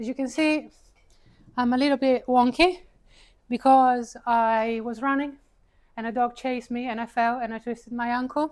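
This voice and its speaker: Pausing long and often, a high-pitched woman with an Italian accent keeps a moderate pace and a fairly even intonation. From Italy. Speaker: paid advertising consultant and speaker. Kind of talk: talk to a live audience. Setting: stage with audience, seated. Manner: casual, conversational.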